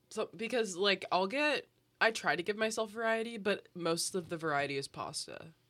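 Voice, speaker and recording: Heard in a very clean recording with a silent background, a woman with a fairly high pitch and a bright, sharp tone speaks at a moderate pace, with vocal fry. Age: young. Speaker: student podcast co-host. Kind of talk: casual chat.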